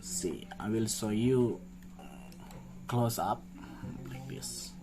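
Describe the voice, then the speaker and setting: With a non-native accent, a man speaks at a very slow pace in a very deep, low pitch. His voice makes very wide pitch swings amid audible room echo. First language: not English. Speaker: clothing designer. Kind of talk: design showcase tutorial. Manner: halting; animated.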